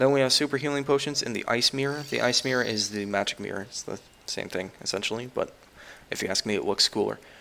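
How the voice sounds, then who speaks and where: The man speaks at a very fast pace and a medium pitch. His pitch varies in an ordinary way. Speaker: gaming youtuber. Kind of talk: gameplay commentary.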